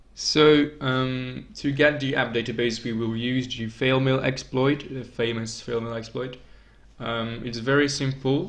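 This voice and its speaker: A man at a fairly slow pace with fairly even intonation, in audible room echo. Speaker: tech tutorial youtuber. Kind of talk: tutorial. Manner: hesitant, many fillers.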